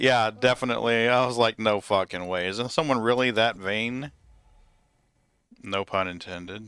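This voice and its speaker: Speaking with a slight Southern US accent, a man uses a bright, sharp tone and ordinary pitch variation, leaving long, frequent pauses. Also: medium pitch for a man, moderate pace, very clean recording, silent background. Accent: southern US accent, showing a little. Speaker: gaming streamer. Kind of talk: casual chat.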